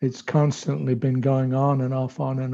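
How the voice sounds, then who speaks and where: At a moderate pace, a man talks in a dark, mellow tone at medium pitch with fairly even intonation. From England. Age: 70s. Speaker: senior monk and spiritual teacher. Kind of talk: talk to youth over video call.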